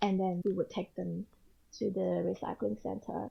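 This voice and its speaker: A woman with an Australian accent, medium pitch, ordinary pitch variation and a fairly slow pace. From Australia (Sydney), earlier Indonesia. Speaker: photographer and author, mother. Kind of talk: casual interview.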